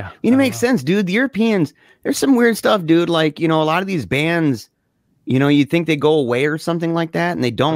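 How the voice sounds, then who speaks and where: A man speaks at a very fast pace with very wide pitch swings. The sound is dry with no echo, and the background is quiet. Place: home room. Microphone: studio mic.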